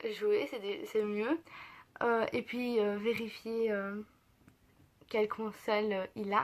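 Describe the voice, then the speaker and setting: A woman with a fairly high pitch and ordinary pitch variation speaks at a very slow pace, with long, frequent pauses. The recording is very clean, with a silent background. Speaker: beauty and lifestyle youtuber. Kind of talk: casual vlog. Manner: hesitant, many filler sounds.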